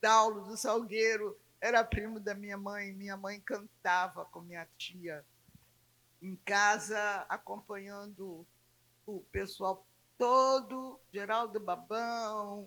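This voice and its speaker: A woman of medium pitch with a bright, sharp tone, a very slow pace, fairly even intonation and big swings in loudness. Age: 80s+. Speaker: philosophy professor and samba researcher. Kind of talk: panel talk.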